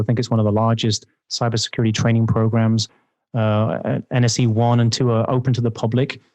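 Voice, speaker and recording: A fairly quick voice with an English accent and monotone, flat intonation, dry and close with no echo, over a quiet background. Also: man. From England. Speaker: security vendor executive. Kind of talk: podcast interview.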